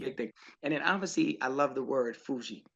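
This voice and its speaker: A man with a medium-pitched voice speaks in an upbeat tone. His pace is fairly quick. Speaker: podcast host. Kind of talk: interview question, casual talk. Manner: casual, upbeat.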